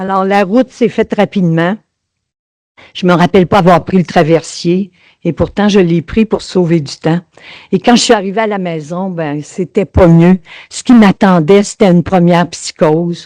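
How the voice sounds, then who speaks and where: With a dark, mellow tone at medium pitch, a woman speaks at a fairly slow pace with ordinary pitch variation and big swings in loudness, in a dry, close sound with no echo. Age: 70s. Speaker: parent caregiver sharing experience. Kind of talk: testimony.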